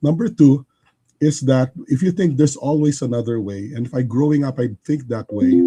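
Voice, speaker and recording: A man's lively, up-and-down delivery at a fairly quick pace, with music playing behind him. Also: fairly high pitch for a man. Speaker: engineer and business leader. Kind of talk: livestream interview. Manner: halting.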